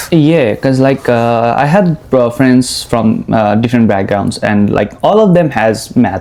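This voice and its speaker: Speaking with a Nepali accent at a fairly slow pace, the voice has lively intonation, very even loudness and hardly any pauses, over noticeable background noise. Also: man, medium pitch for a man. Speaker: international student, podcast host. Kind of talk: interview. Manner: halting.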